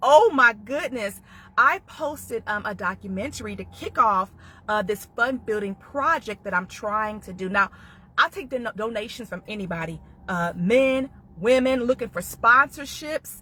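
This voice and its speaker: A woman's bright, sharp voice with lively intonation and big swings in loudness. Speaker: domestic violence survivor and author. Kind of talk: live stream monologue. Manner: fast.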